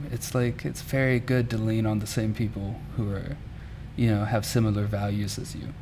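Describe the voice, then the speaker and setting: A man with a Southern US accent talks at a moderate pace in a fairly low voice with fairly even intonation. There is noticeable background noise and audible room echo. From Mississippi. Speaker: muralist. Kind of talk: interview.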